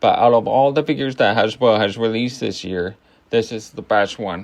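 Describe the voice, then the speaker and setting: The speech keeps a moderate pace with fairly even intonation. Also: man. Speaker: toy review youtuber. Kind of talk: product review. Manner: casual, halting.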